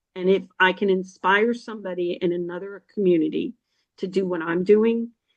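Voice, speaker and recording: Moderate pace, ordinary pitch variation, and a New Jersey accent. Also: woman. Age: 60s. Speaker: financial podcast host, chamber member. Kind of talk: interview. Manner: animated; halting.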